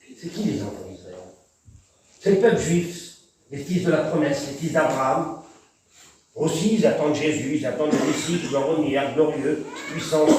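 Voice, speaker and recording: Amid audible room echo, a man with fairly high pitch and ordinary pitch variation speaks at a fairly slow pace, with big swings in loudness and long, frequent pauses. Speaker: preacher. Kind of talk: sermon. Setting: church.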